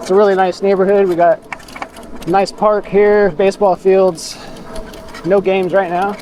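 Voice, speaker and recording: Mumbling in a flat monotone at a moderate pace, a man with a high-pitched voice leaves long, frequent pauses over noticeable background noise. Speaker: e-bike vlogger. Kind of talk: casual ride vlog narration. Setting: outdoors riding a bike.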